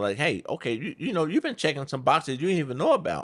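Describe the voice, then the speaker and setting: There is vocal fry in this man's voice, and his pitch swings very widely. The recording is very clean, with a silent background. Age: 60s. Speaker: podcast host's father. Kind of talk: casual chat.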